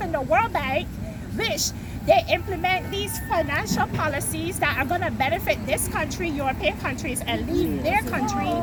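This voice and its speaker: A woman talks at a moderate pace with music in the background. Room echo is audible. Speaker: street protester interviewed by a YouTuber. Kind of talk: heated debate.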